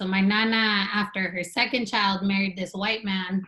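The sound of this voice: A woman with an American accent, medium pitch and little pitch movement, at a fairly slow pace. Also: fairly bright tone.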